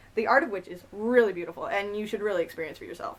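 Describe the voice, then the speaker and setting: A woman speaks over noticeable background noise. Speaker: comic book reviewer. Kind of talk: casual talk to camera. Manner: stuttering in parts.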